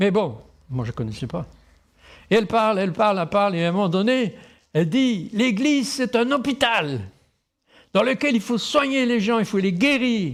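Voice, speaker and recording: The recording is very clean, with a silent background. A man talks at a fairly quick pace with very wide pitch swings. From Tahiti, French Polynesia. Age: 60s. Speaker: pastor. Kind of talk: sermon.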